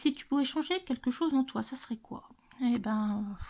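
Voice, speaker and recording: Speaking at a very slow pace, the woman has a high-pitched voice. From central France, Loiret. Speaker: YouTuber, adult coloring channel. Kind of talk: casual chat, Q&A tag video. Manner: hesitant, many fillers.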